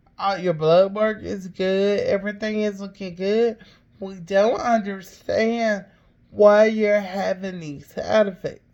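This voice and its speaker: A woman speaks with an Alabama accent at a medium pitch. Her pace is very slow and her intonation fairly even. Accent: Southern US (Alabama). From Alabama, US South. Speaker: podcaster, cancer patient. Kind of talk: personal testimony. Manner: halting, with fillers.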